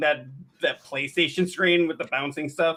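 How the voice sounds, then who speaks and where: A man with an American accent talks very fast, his intonation fairly even. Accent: Midwestern US, often called thick. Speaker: gaming streamer and podcast co-host. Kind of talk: casual chat.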